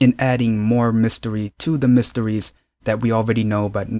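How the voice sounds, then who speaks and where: A man's ordinary speaking voice at medium pitch and a moderate pace, with a dry, close sound with no echo on a very clean recording with a silent background. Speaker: drama reviewer YouTuber. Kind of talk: casual video review.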